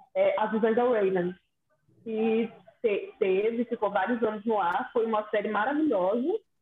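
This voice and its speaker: Fairly high-pitched woman's voice at a fairly slow pace, ordinary pitch variation and very even loudness, with music in the background. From Espírito Santo, Brazil. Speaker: podcast co-host. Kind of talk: casual chat.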